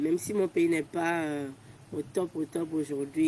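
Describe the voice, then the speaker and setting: A woman speaks with a very deep, low pitch. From Togo. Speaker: volunteer. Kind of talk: interview. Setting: outdoors. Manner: fast.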